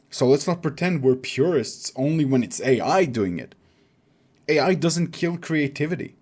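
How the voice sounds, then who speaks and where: In a very clean recording with a silent background, a man with a non-native accent talks at a moderate pace and fairly high pitch with lively intonation. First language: not English. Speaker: writer and video essayist. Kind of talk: video essay.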